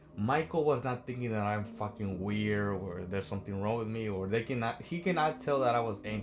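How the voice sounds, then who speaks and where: A man with a non-native accent, medium pitch, an animated tone and lively intonation, fairly quick pace, and music in the background. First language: not English. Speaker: self-help vlogger. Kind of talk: motivational talk. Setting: on a train.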